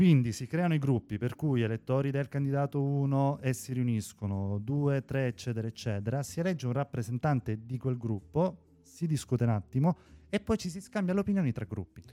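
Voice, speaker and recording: The voice has a dark, mellow tone and lively intonation, moving at a fairly quick pace in a dry, close sound with no echo. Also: man, medium pitch for a man. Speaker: podcast co-host. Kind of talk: casual news discussion. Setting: remote connection from abroad.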